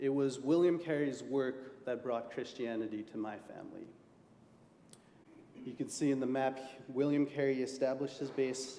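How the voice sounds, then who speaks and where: In a room with audible echo, a man speaks at a moderate pace with a medium pitch and fairly even intonation. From India. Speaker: lay preacher. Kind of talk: sermon. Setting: church.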